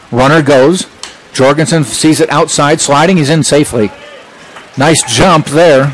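A man's fairly high voice at a fairly slow pace, with ordinary pitch variation, very even loudness, long and frequent pauses, and noticeable background noise. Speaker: play-by-play announcer. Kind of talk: live sports play-by-play commentary. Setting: broadcast booth at a college baseball game. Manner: brisk, fluent, descriptive pitch-by-pitch calls.

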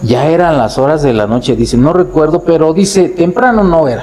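Lively intonation from a man with fairly high pitch, at a moderate pace. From Mexico, Cuitzeo, Michoacán; Michoacán, Mexico. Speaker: festival committee president; storyteller guest or host. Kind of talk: storytelling; casual chat. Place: home room. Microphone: lapel.

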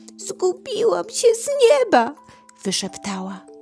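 Music plays in the background. A woman talks at a very slow pace. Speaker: storyteller. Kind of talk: bedtime story reading. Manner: soft, calming.

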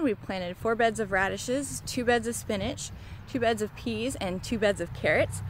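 Recorded dry with no echo but noticeable background noise, a woman speaks at a moderate pace. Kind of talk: casual vlog update. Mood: cheerful, occasional laughs. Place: garden. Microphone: phone near.

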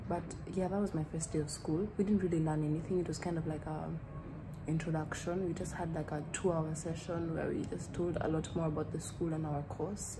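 A woman at a moderate pace amid noticeable background noise. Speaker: student vlogger. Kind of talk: casual vlog chat. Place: home room. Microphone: phone near.

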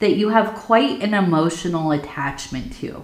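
A woman's voice carries audible room echo against a quiet background. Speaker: tea leaf reader. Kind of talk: casual divination reading. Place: home room.

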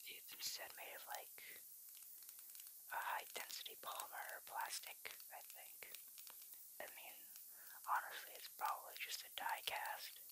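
Someone whispers at a moderate pace. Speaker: ASMR creator. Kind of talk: ASMR soft-spoken show-and-tell of a collectible. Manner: soft-spoken, whispering.

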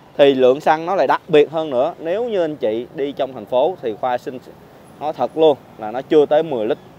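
Light background noise accompanies a man whose pitch varies in an ordinary way, in a dry sound with no echo. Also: moderate pace. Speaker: car salesman. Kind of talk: sales presentation commentary. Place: street. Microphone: phone near.

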